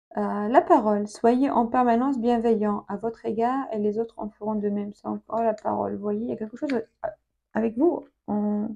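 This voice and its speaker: This woman's fairly high voice carries a dark, mellow tone. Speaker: tarot reader. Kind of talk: tarot reading video. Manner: hesitant, many fillers and repetitions.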